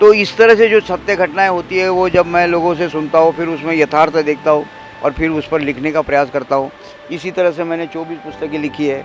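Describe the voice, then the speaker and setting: Noticeable background noise fills the clip. The voice moves at a moderate pace with ordinary pitch variation. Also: man, fairly high pitch for a man. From Maharashtra, Amravati district village. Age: 60s. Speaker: author and tea seller. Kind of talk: interview.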